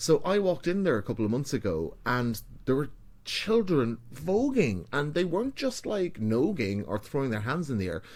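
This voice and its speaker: A man speaks with an Irish accent. His pitch swings very widely. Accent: some Irish. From Ireland, small town. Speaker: ballroom and vogue DJ and performer. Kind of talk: podcast interview. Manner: casual, chatty.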